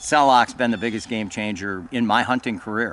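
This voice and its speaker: Over noticeable background noise, a man talks at medium pitch and a moderate pace, with ordinary pitch variation. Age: 70s. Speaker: bowhunter. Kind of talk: casual chat.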